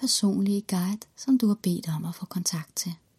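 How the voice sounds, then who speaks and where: The tone is warm and calm. The pace is very slow. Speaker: guided meditation leader. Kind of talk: guided meditation. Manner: slow, calm, soothing, gentle pacing with long pauses; warm, reassuring, encouraging.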